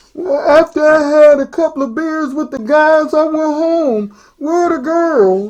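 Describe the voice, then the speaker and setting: A woman uses a put-on character voice pitched high, with ordinary pitch variation. She keeps a moderate pace with hardly any pauses. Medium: read story. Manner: laid-back, casual.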